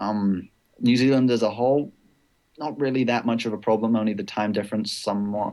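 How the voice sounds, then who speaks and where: Speaking very fast with a slight British accent, a man uses a fairly low pitch, fairly even intonation and a dark, mellow tone. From Britain. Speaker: esports player. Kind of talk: casual interview.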